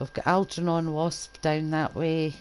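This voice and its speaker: A woman speaks at a fairly slow pace. Her voice has a very deep, low pitch. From east coast Scotland. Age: old. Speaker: gaming streamer. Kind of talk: game commentary. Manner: casual.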